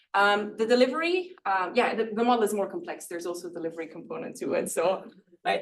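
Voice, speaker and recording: A woman with a Flemish accent talks at a very fast pace in a medium pitch. Her pitch swings very widely, and room echo is audible. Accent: Flemish Dutch accent in English. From northern Belgium (Flanders). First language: Dutch. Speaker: professor. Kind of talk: lecture. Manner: halting, many fillers.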